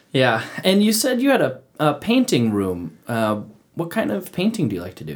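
Over noticeable background noise, a man with a fairly high pitch speaks with very wide pitch swings. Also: moderate pace, big swings in loudness. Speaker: podcast co-host. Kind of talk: casual interview chat.

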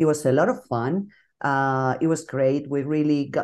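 A woman speaks with a Spanish accent. Her pitch is very deep and low. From northern Spain (Bilbao). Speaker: design agency founder. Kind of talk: interview.

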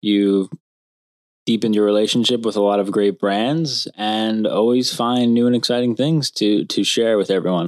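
A man speaks at a moderate pace with fairly even intonation and very even loudness. The sound is dry and close, with no echo. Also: medium pitch for a man. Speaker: podcast guest interviewer, host's husband. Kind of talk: casual interview. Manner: mild-mannered.

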